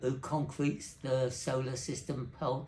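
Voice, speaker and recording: Audible room echo surrounds a man whose intonation stays fairly even. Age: 80s+. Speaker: telecommunications engineer. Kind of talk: interview. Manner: halting.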